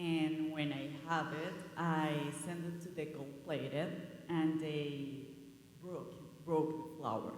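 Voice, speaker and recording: Very slow speech in a Spanish accent, with long, frequent pauses and noticeable background noise. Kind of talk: panel discussion. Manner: halting.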